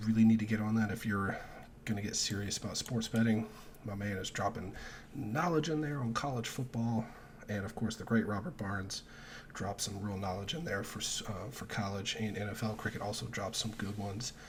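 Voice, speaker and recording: Here a man talks at a fairly quick pace. His fairly low pitch moves with ordinary variation. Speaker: sports betting youtuber. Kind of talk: casual solo vlog. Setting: at home, early morning. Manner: keeping voice down.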